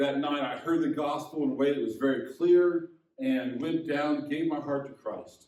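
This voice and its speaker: Audible room echo carries a man's fairly high voice as he speaks slowly-ish with an American accent and ordinary pitch variation. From US Midwest, Indiana. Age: 60s. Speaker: pastor. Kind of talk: sermon.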